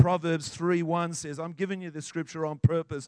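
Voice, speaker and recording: A man talks in an animated tone at a high pitch. The sound is dry and close, with no echo. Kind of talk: sermon, preacher in full flow. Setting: church with congregation. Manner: animated, fervent, declaring with rising intensity.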